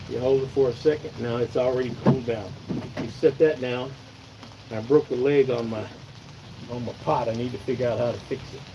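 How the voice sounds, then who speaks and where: Over noticeable background noise, a man of medium pitch talks in a monotone, flat way with an American accent. His pace is fairly quick, broken by long, frequent pauses. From Oregon. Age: 60s. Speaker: outdoors channel host. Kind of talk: live stream tutorial. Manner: casual, chatty.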